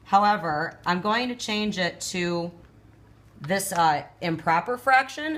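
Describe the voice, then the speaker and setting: A woman uses a normal speaking voice at a medium pitch. She moves at a fairly slow pace with lively intonation. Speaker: math teacher. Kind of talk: tutorial.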